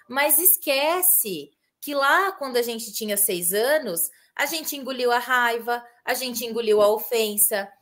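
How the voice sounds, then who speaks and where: A woman talks with a fairly high pitch and lively intonation. Hers is an unremarkable speaking voice, delivered at a fairly slow pace. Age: 30s. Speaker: family constellation therapist. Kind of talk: casual chat.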